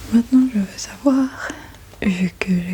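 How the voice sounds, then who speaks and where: A voice whispers in a gentle tone. Noticeable background noise sits behind it. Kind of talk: ASMR roleplay, personal questions. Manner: soft-spoken, gentle.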